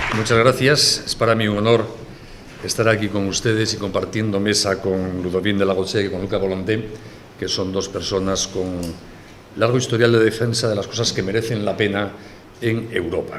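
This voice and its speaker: A man with a fairly low pitch speaks in a flat monotone at a moderate pace. Noticeable background noise and audible room echo fill the recording. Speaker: family advocacy leader. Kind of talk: conference talk.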